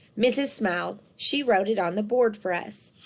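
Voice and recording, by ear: At a moderate pace, a woman talks with a medium pitch and ordinary pitch variation.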